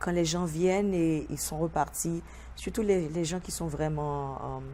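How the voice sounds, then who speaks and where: A woman is speaking. Her pace is very slow. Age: 50s. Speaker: vodou priestess. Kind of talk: TV interview. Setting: TV studio. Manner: halting, searching for words.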